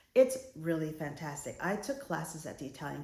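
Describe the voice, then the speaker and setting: With an American accent, the speaker talks at a fairly quick pace in a dark, mellow, somewhat breathy tone, and the room echo is audible. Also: woman. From United States. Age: middle-aged. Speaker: lifestyle vlogger. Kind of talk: casual vlog talk to camera. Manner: conversational, some hesitations.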